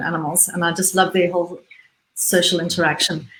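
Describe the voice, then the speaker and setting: This woman speaks with a Zimbabwean accent. Her pace is fairly quick. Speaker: businesswoman and conservationist. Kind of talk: interview. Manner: halting, many repetitions.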